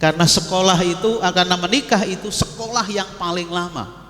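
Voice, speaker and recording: A man speaks at a moderate pace. The recording carries audible room echo and noticeable background noise. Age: 60s. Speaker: Islamic preacher. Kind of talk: religious lecture. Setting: mosque. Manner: conversational, addresses audience directly.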